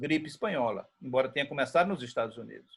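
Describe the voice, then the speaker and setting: A man speaks with ordinary pitch variation. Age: 70s. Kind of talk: panel discussion.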